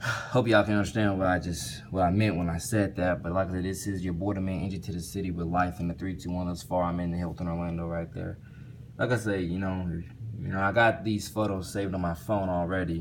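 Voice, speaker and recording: Very deep and low-pitched, a man rushes along at a very fast pace with fairly even intonation. Room echo is audible. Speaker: vlogger. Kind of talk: casual vlog monologue. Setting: hotel room. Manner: halting, repetitive with fillers.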